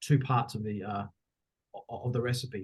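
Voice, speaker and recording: Speaking at a fairly quick pace, a man with an Australian accent sounds somewhat breathy. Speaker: education consultant, former head of school. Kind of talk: podcast interview.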